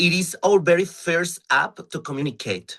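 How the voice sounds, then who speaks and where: This man speaks at a very slow pace with a Mexican accent. His tone is bright and sharp. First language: Spanish. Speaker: drag performer. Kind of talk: interview. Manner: halting.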